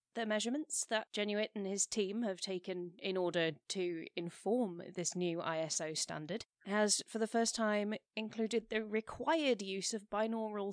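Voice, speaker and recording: Hardly pausing at all, a woman with a British accent talks at a medium pitch with ordinary pitch variation. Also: dry, close sound with no echo. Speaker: science podcast co-host. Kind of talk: casual chat.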